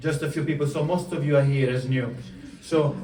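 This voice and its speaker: Noticeable background noise and audible room echo surround the recording. A man with a fairly high pitch talks at a fairly quick pace with fairly even intonation. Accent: Italian. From southern Italy, Puglia. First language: Italian. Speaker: coach. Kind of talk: motivational talk. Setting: stage with audience.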